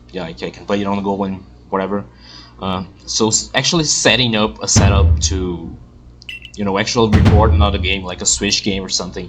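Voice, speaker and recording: Over music in the background, a man with a non-native accent and a very deep, low pitch talks at a fairly quick pace with lively intonation. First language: not English. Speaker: gaming youtuber. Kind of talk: let's play commentary. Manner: halting.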